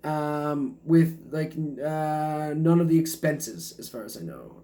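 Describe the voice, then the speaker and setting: At a very slow pace, a man speaks at a fairly high pitch with fairly even intonation and big swings in loudness. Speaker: stand-up comedian. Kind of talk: casual comedic history reading to camera. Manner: hesitant, rambling.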